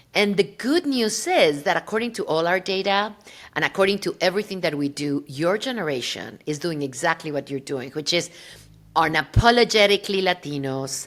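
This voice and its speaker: In a very clean recording with a silent background, a woman with a Spanish accent speaks at a fairly low pitch. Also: lively intonation, fairly quick pace. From Mexico City, Mexico. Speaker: podcast host. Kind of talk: interview podcast. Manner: animated.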